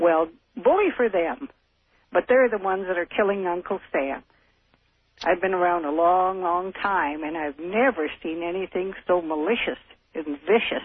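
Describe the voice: A man talks at a moderate pace in a high voice with a slightly husky edge and ordinary pitch variation. The sound is dry and close, with no echo.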